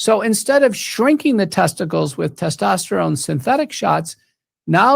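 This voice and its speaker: The recording is very clean, and the background is silent. A man talks at a moderate pace. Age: 60s. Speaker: wellness company executive, physician. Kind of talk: interview with product promotion.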